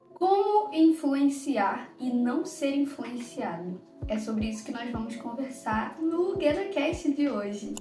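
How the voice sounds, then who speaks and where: Over music in the background, a woman with a high pitch talks at a very slow pace, her pitch swinging very widely. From Rio de Janeiro, Brazil. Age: 20s. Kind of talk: devotional podcast talk. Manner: casual, conversational.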